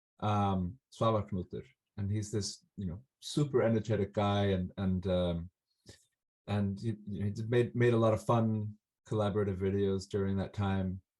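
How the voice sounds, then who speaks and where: At a moderate pace, a man with an Icelandic accent speaks in a fairly low pitch with fairly even intonation. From Iceland, Reykjavik. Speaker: folk musician. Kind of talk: interview. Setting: video call. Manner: halting, many fillers.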